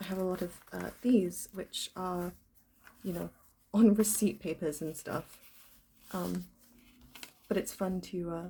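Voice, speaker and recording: A woman's somewhat breathy, medium-pitched voice, dark and mellow in tone, with fairly even intonation. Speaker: stationery vlogger. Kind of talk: casual vlog talk. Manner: halting with many ums.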